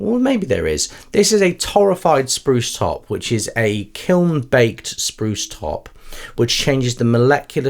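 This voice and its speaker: A man with an English accent talks at a moderate pace with very wide pitch swings. The recording is very clean, with a silent background. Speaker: music shop presenter. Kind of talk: product demonstration. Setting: indoor room with lights. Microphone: studio condenser microphone.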